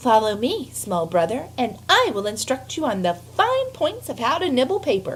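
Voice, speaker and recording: In a put-on character voice with a high pitch, a woman speaks at a moderate pace with hardly any pauses, clear background noise behind her. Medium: read story. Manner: prim, instructive.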